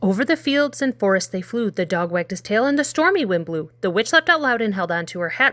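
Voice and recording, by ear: Someone reads aloud in a natural voice. Their intonation moves in a lively way.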